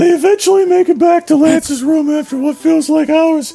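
A man talks at a fairly quick pace in a put-on character voice pitched extremely high. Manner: playful, silly.

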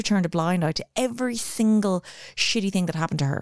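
A woman with an Irish accent talks at a very fast pace. The recording is very clean, with a silent background. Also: dry, close sound with no echo. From Ireland. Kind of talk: casual chat. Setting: studio.

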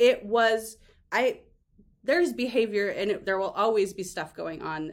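A woman's normal speaking voice, with ordinary pitch variation and a fairly slow pace. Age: 40s. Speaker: author. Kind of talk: casual interview chat.

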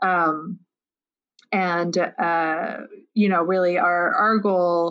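The background is quiet as a woman speaks in a fairly low pitch. Her tone is bright and sharp and her intonation fairly even. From France. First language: French. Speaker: impact investor, nonprofit fund director. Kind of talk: interview. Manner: hesitant, with many fillers.

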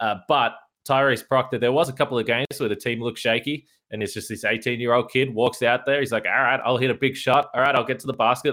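In an Australian accent, a man speaks at a medium pitch with a bright, sharp tone. His intonation is fairly even, and the recording is very clean with a silent background. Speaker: sports podcast host. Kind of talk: interview.

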